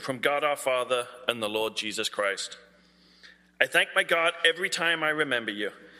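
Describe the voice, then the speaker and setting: Bright and sharp in tone, a man speaks with a British accent and ordinary pitch variation. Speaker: scripture reader at church. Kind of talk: reading aloud of scripture.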